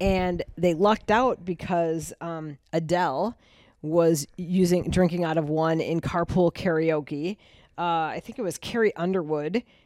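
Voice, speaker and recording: A woman with a normal speaking voice talks at a fairly low pitch with fairly even intonation. The sound is dry and close with no echo, on a very clean recording with a silent background. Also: fairly slow pace. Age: 50s. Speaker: podcast co-host, marketer. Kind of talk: casual chat.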